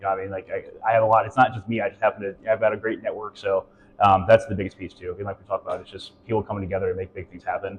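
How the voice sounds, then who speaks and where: A man with a fairly low, somewhat breathy voice talks at a very fast pace with fairly even intonation. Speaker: local business operations director. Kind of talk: interview. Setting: on location at a coworking space.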